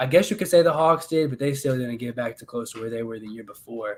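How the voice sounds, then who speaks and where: A man speaks at a fairly quick pace in a plain, everyday voice, with ordinary pitch variation. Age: 20s. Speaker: podcast host. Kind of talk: casual chat.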